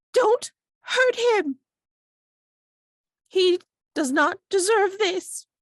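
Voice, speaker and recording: This put-on character voice sits at an extremely high, shrill pitch and moves at a very slow pace broken by long, frequent pauses. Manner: pleading, protective.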